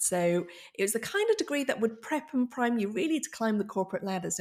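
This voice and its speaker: With a northern English accent and lively intonation, the voice comes through on a very clean recording with a silent background. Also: woman. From northern England. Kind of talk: conversational, interview.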